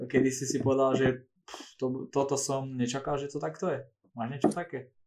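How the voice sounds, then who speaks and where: With a plain, everyday voice, a man talks at a moderate pace in a fairly high pitch. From southern Slovakia, Rimavská Sobota area. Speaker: podcast host, physiotherapist. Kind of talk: casual interview.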